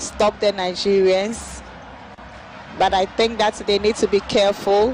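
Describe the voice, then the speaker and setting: An animated woman at a fairly slow pace amid noticeable background noise. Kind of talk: football commentary. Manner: animated co-commentator giving analysis.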